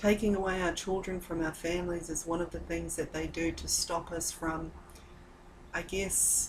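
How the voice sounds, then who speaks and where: A woman speaks at a moderate pace in a fairly low pitch and a flat, monotone delivery, with noticeable background noise. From New Zealand. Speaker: mother addressing her missing child. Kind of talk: personal video message. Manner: halting.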